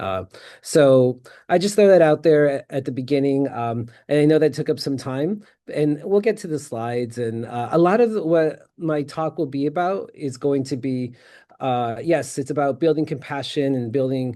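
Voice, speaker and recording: A man with a fairly high pitch and a dark, mellow tone speaks at a moderate pace with ordinary pitch variation. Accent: American. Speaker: peacebuilding practitioner, conference presenter. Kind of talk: conference presentation.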